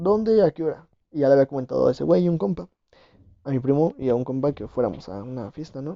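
A man talks at a fairly quick pace. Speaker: podcast host. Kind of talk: casual chat.

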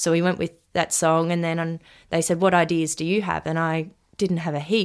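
Someone with an Australian accent speaks at a fairly quick pace in a monotone, flat intonation. The recording is very clean, with a silent background. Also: woman. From Australia, Sunshine Coast Queensland. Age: 20s. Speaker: young country musician. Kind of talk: interview. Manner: hesitant, many ums.

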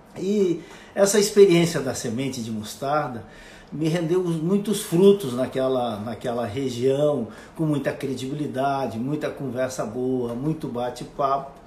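With noticeable background noise and audible room echo, a man with a fairly high pitch talks at a fairly slow pace with lively intonation. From Brazil, western Santa Catarina. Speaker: radio host. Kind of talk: casual monologue. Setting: Instagram live video. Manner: halting.

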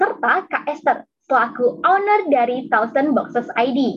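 At a fairly slow pace, the voice moves through very wide pitch swings. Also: woman. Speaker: student MC. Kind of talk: event MC; read-out promo.

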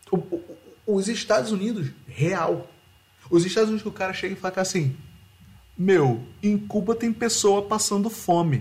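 Moderate pace broken by long, frequent pauses. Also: man, high pitch for a man, ordinary pitch variation. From Rio de Janeiro, Brazil. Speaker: podcast host. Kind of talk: casual chat.

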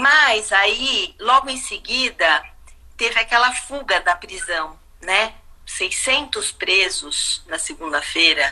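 A woman talks at a very slow pace while her pitch swings very widely. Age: 50s. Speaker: visual artist and art educator. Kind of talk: casual chat. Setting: live video stream from home.

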